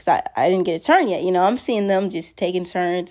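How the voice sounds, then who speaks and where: Here a woman with a plain, everyday voice speaks at medium pitch and a moderate pace. The recording is very clean, with a silent background. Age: young. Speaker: storyteller vlogger. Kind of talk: story time monologue. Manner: casual and rambling with fillers.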